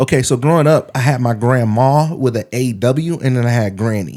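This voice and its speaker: With an American accent, a man talks at a moderate pace and medium pitch, his dark, mellow tone showing ordinary pitch variation and hardly any pauses, in a very clean recording with a silent background. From Michigan. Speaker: podcast co-host. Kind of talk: casual chat. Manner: halting.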